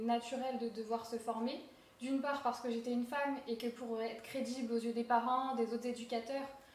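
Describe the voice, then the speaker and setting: Against noticeable background noise, a woman speaks in a high voice with monotone, flat intonation. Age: 20s. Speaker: amateur football coach. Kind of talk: interview. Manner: hesitant, many filler words.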